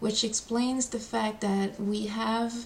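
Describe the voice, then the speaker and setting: At a fairly slow pace, a woman speaks in a fairly high pitch with monotone, flat intonation. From France. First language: French. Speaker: language tutor. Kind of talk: tutorial.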